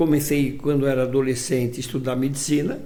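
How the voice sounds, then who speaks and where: A man with a fairly high pitch talks in a room with audible echo. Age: 80s+. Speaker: physician and hospital director. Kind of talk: interview. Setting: studio. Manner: halting.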